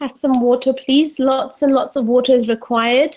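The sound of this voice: In a slightly mellow tone, a woman with a high pitch talks at a moderate pace with fairly even intonation.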